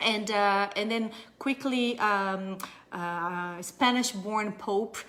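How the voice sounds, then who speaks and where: Speaking at a very slow pace, a woman with a Brazilian Portuguese accent has a bright, sharp tone, medium pitch and fairly even intonation. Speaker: audiologist. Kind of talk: live stream talk. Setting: live video stream. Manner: hesitant, many fillers; careful enunciation.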